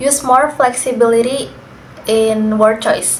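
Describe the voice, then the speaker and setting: Over noticeable background noise and audible room echo, a speaker with an Indonesian accent goes at a very slow pace with ordinary pitch variation. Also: woman. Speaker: university student. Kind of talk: class assignment interview.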